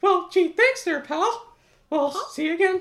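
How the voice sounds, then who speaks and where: The man uses a put-on character voice. It sits at an extremely high pitch and keeps a moderate pace. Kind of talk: old-fashioned, folksy (gee, pal).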